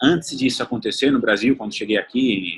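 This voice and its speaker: A man at a moderate pace. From Italy (born in the south, grew up partly in the north). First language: Italian (speaking Portuguese). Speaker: chef and restaurant owner. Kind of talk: interview.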